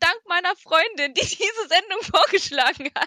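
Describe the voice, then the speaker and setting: A woman speaks in a raised, projected voice with a bright, sharp tone. Her pitch swings very widely, and the sound is dry and close with no echo. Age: 20s. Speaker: podcast co-host. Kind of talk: casual chat.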